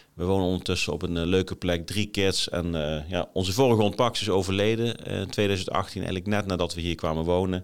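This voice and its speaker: A man talks at a fairly quick pace, his very deep, low pitch showing ordinary pitch variation, on a very clean recording against a silent background. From Nijmegen area, eastern Netherlands. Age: 40s. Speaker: leadership podcaster, former military officer. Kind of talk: solo podcast monologue. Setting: office, on camera. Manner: hesitant, many fillers.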